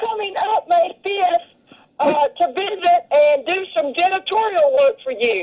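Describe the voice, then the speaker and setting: Each word comes at a very slow pace, spoken in a Southern US accent. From Nashville, Tennessee, US South. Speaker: caller, show viewer. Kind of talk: casual chat. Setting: phone call on speakerphone.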